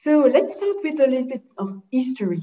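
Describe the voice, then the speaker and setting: A woman with a French accent speaks at a moderate pace with lively intonation. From Geneva, French-speaking Switzerland. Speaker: head of sales at a standards organization. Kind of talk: webinar presentation.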